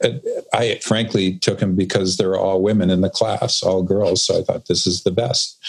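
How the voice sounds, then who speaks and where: A man's voice holds a very even loudness over noticeable background noise. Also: moderate pace. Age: 60s. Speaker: expert guest on purpose. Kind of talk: interview conversation.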